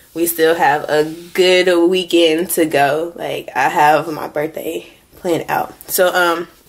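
A woman's fairly low, monotone voice at a very slow pace, with noticeable background noise. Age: 20s. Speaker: vlogger. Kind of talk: casual vlog talk.

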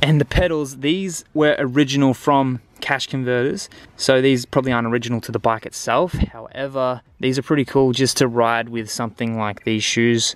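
A man with an Australian accent, medium pitch, ordinary pitch variation and a moderate pace, the sound dry with no echo. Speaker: travel vlogger. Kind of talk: gear tutorial. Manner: casual. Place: garden. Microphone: phone near.

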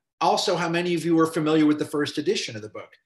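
A man talks at a very fast pace. The background is quiet, though room echo is audible. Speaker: film professor and filmmaker. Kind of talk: casual chat. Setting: video call. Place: home room. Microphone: video call.

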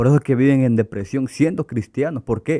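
Set against a quiet background, a man's dark, mellow tone carries ordinary pitch variation. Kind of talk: religious interview. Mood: earnest, passionate religious talk. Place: studio. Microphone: studio mic.

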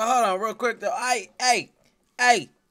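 A man's raised, projected voice, bright and sharp in tone, with ordinary pitch variation against a quiet background. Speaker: reaction streamer. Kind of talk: casual reaction commentary. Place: home room.

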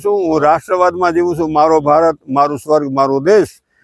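A man with a fairly high pitch and lively intonation talks in an ordinary speaking voice. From Gujarat, Rajkot district (Gondal). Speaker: social worker and writer. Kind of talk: speech to camera.

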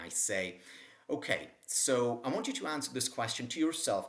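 With the background quiet, a man talks at a moderate pace. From Israel. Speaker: psychology professor and author; psychology professor. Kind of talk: interview. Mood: warm, smiling, animated. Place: home room. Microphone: webcam.

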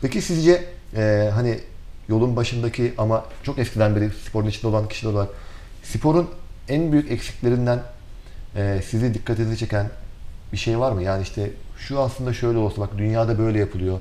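A normal speaking voice from a man, medium in pitch, with ordinary pitch variation at a fairly quick pace. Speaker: TV sports show host. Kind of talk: interview. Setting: studio. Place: studio. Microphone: lapel.

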